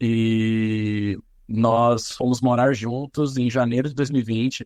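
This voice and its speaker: A man's medium-pitched voice, dry and close with no echo, against a quiet background. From interior of São Paulo state, Brazil (São José dos Campos). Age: 30s. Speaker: singer, actor and social media comedian. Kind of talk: podcast interview. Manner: hesitant, repeats words.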